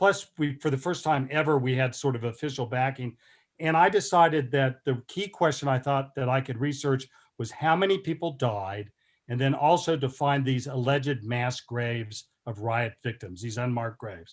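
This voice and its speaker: A man with an American accent talks at a moderate pace and medium pitch, in a normal speaking voice. His pitch varies in an ordinary way, and the recording is very clean with a silent background. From Oklahoma (Tulsa). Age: 60s. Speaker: historian. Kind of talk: lecture.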